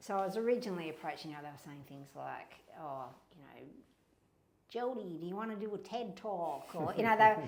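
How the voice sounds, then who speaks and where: In an Australian accent, a woman speaks at a fairly quick pace with lively intonation and big swings in loudness. Audible room echo surrounds her voice. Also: medium pitch for a woman. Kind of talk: podcast interview. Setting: in person at a cultural centre.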